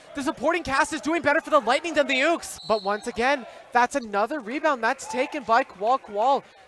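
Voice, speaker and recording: A man at extremely high pitch, with ordinary pitch variation, a fairly quick pace, hardly any pauses and noticeable background noise. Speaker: sports commentator. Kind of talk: live basketball play-by-play commentary.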